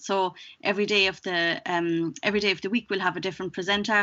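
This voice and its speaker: At a very fast pace, a woman talks in a medium-pitched voice. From Germany. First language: German. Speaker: wellbeing show producer. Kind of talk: interview.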